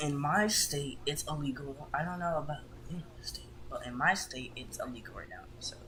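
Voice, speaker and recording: Quiet speech at a moderate pace, with noticeable background noise. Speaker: gamer podcast co-host. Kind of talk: casual chat.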